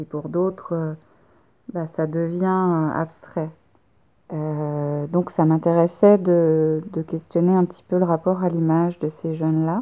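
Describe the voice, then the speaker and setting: A woman's fairly low voice at a very slow pace, with monotone, flat intonation. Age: 30s. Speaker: photographer. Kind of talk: casual conversation.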